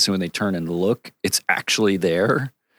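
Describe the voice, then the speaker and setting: A normal speaking voice from a man with an American accent, fairly low in pitch, with fairly even intonation, a moderate pace and dry, close sound with no echo. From Connecticut, US Northeast. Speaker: cinematographer. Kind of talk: casual interview.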